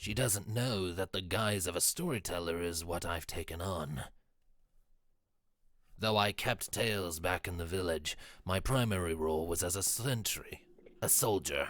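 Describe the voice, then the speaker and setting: Using a put-on character voice, a man speaks with a very deep, low pitch and ordinary pitch variation at a moderate pace, leaving long, frequent pauses, on a very clean recording with a silent background. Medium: actual play. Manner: measured, deliberate.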